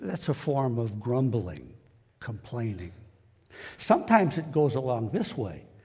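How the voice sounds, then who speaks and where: Long, frequent pauses break up a man's somewhat breathy, dark and mellow voice, which sits at medium pitch but swings very widely. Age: 70s. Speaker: lay preacher. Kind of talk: sermon. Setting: church. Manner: halting.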